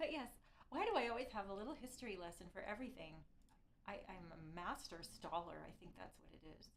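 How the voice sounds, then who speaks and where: With a Canadian accent, a woman speaks at a fairly quick pace in a medium pitch. Her voice makes very wide pitch swings and big swings in loudness, with audible room echo. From Canada. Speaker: violinist streamer. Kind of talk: live stream chat. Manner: halting.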